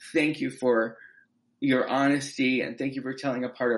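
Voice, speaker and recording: Against a quiet background, a man speaks at medium pitch with fairly even intonation in an ordinary speaking voice. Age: 20s. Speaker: actor and playwright. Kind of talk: interview.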